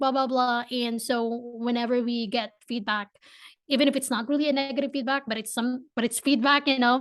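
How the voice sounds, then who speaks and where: In a quiet setting, a woman with a Filipino accent talks at a fairly quick pace in a high pitch, her intonation monotone and flat. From Philippines. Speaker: entrepreneur. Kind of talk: podcast interview. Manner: hesitant, many repeats.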